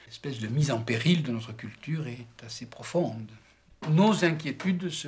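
A man speaks at a fairly high pitch with ordinary pitch variation. Audible room echo surrounds his voice. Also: big swings in loudness. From France. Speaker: writer. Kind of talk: discussion.

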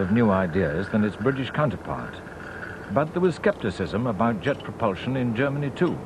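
Against noticeable background noise, a man talks at a fairly quick pace in a medium pitch. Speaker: documentary narrator. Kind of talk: history documentary narration, measured and authoritative scripted delivery. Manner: formal, steady, even-paced.

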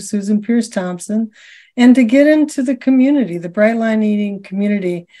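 The voice is somewhat breathy, with a dark, mellow tone. Its pitch varies in an ordinary way. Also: woman, quiet background. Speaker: podcast host. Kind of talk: personal story told as host intro. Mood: warm, upbeat. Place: home room. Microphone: video call.

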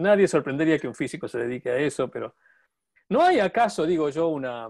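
A man with an Argentine accent speaks at a moderate pace over a quiet background. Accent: Argentine Spanish (Rioplatense). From Argentina. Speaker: podcast host and portrait painter; podcast host. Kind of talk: casual chat. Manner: halting. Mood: relaxed, friendly. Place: home room. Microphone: earbuds.

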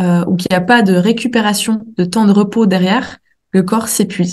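Her voice sits at a medium pitch for a woman, somewhat breathy. She speaks at a moderate pace with monotone, flat intonation. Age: 20s. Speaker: naturopath. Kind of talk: interview.

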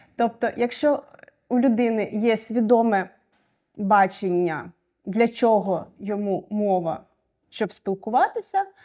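The tone is dark and mellow, with ordinary pitch variation. The pace is very slow on a very clean recording with a silent background. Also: woman. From Ukraine. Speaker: refugee sharing experience. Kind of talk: personal testimony.

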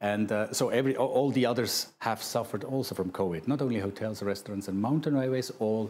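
Ordinary in pitch variation, a man's voice has a dark, mellow tone. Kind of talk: interview answer. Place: studio. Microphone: lapel.

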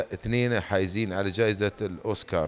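A man with an Emirati accent speaks at a fairly slow pace. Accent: Emirati Gulf Arabic. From UAE, Dubai; UAE. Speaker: film producer. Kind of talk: interview; interview answer. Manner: hesitant with repeated words. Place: hall. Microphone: handheld.

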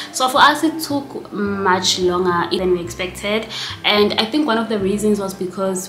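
A woman at a fairly slow pace, with ordinary pitch variation, faint background music and audible room echo. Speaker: vlogger. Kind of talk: casual vlog chat, Q&A answers. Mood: relaxed, chatty, laughs. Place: home room.

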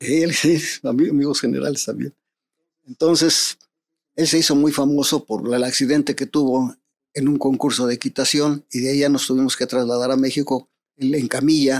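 A man talks in a fairly high pitch with monotone, flat intonation. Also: moderate pace. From Mexico. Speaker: private security expert; interview guest. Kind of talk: interview storytelling. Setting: studio. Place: studio. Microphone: studio mic.

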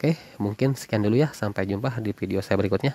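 A man speaks with a fairly low pitch and ordinary pitch variation. His pace is fairly quick, and the sound is dry with no echo. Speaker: orchid seller. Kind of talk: sales pitch. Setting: video recording of plants shown on camera. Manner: upbeat, fast-paced, repeating price and contact; warm, chatty, addressing viewers as friends. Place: garden. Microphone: phone near.

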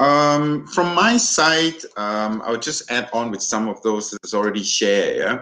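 A man's medium-pitched voice in a Thai accent, bright and sharp in tone, fairly slow yet with hardly any pauses, and lively intonation. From Thailand. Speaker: hotel general manager. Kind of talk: webinar panel discussion. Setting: video call.

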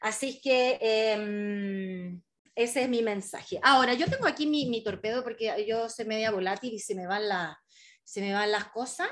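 This woman speaks with a Chilean accent at a fairly slow pace. Her pitch varies in an ordinary way. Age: 30s. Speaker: travel writer and author. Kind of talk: book presentation talk. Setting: video call. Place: home room. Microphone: video call.

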